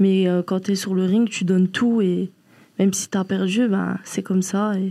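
A woman speaks in a dark, mellow tone with flat, monotone intonation. Her pace is fairly slow, and the recording is very clean with a silent background. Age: 20s. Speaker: professional boxer. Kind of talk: casual chat.

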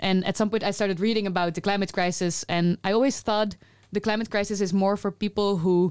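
A woman with a Dutch accent at a medium pitch and fairly quick pace, fairly even in intonation, in a very clean recording with a silent background. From Netherlands. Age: 30s. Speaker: climate activist. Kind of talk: casual conversation.

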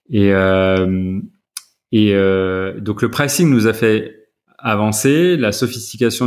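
This man's voice is fairly low, and its pitch varies in an ordinary way. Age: 40s. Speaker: startup founder. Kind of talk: interview. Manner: halting.

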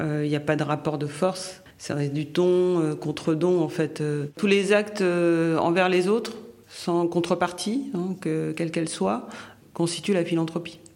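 At a very slow pace, a woman speaks with a fairly low pitch and ordinary pitch variation. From Haiti. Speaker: philanthropist, former finance professional. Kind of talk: interview testimony. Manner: halting with hesitations.

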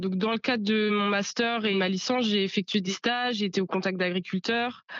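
A woman speaks at a medium pitch in a normal speaking voice. Her intonation is fairly even. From Normandy, France (Bocage virois). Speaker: young farmer. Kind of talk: interview testimony.

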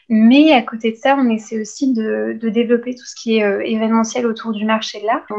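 A woman's fairly high voice moves at a moderate pace in monotone, flat intonation. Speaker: law and art history student. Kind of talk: interview.

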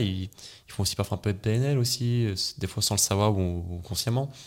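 In a very clean recording with a silent background, a man uses an ordinary speaking voice with a fairly low pitch and ordinary pitch variation. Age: 20s. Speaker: hypnotherapist. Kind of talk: casual interview.

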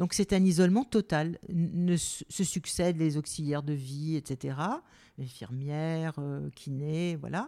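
In a very clean recording with a silent background, a woman with a very deep, low pitch and a dark, mellow tone speaks at a very slow pace with ordinary pitch variation. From Algeria, then southern France. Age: 70s. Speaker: journalist and author. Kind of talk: personal testimony interview.

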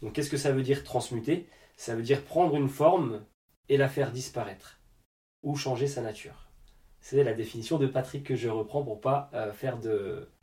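Speaking at a moderate pace with long, frequent pauses, a man's somewhat breathy voice has a dark, mellow tone, medium pitch and ordinary pitch variation. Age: 30s. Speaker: dance school director and energy therapist. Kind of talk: casual interview.

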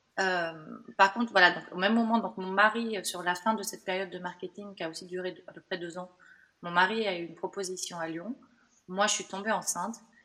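Talking at a fairly quick pace, a woman holds a medium pitch with fairly even intonation. Her loudness swings in a big way. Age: 40s. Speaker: burnout survivor. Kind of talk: testimony. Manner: halting, many fillers.

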